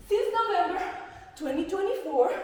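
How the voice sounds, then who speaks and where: A woman speaks at an extremely high pitch with very wide pitch swings. Noticeable background noise and audible room echo surround her. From Chile. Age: 30s. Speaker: dancer and choreographer. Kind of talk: stage performance. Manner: halting.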